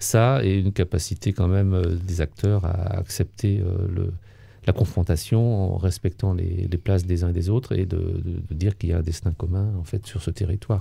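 Speaking at a moderate pace, a man with a very deep, low pitch and a dark, mellow tone sounds somewhat breathy, his intonation fairly even. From France, Vendée coast; France. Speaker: retired local government official and author; interviewee, local civic actor. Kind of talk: interview testimony. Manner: hesitant, many fillers. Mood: calm, reflective.

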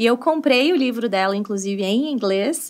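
A woman talks with lively intonation at a moderate pace, and the background is quiet. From Brazil, countryside. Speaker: English teacher and entrepreneur; English teacher. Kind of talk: casual interview. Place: studio. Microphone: studio mic.

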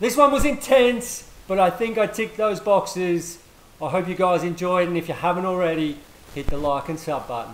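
Audible room echo surrounds a man speaking at a moderate pace. His high voice carries lively intonation. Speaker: gaming YouTuber and sim racing driver. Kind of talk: live race commentary. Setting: home sim rig, streamed race. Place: home room.

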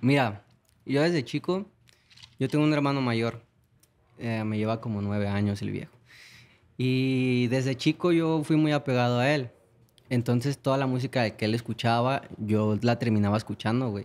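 Long, frequent pauses break up a man's speech. He keeps a moderate pace and ordinary pitch variation. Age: 20s. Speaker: singer; guest. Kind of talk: casual chat. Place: studio. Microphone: studio mic.

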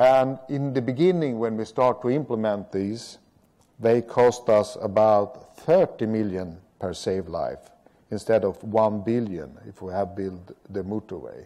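Speaking at a fairly slow pace with a Swedish accent, a man has a dark, mellow tone, ordinary pitch variation and big swings in loudness. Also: quiet background. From Sweden. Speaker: road safety strategist; speaker. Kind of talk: lecture. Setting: stage with audience. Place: hall.

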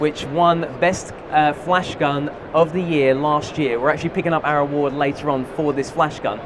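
Against noticeable background noise, a man speaks at a moderate pace with fairly even intonation. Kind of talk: live product demonstration. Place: hall. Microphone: headset.

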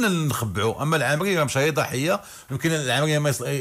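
A man talks in an animated tone. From Morocco. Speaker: football pundit. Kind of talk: heated debate. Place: studio. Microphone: studio mic.

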